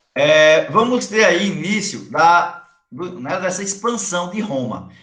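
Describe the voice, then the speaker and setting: In a room with audible echo, a man speaks very slowly in a high pitch with lively intonation. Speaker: high school history teacher. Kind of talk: online lecture.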